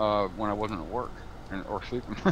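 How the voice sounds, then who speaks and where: The man's voice is fairly low, with an American accent. He speaks in a flat monotone amid audible room echo. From Arizona. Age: 50s. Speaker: map maker for a farming game. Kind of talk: casual chat. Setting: live stream.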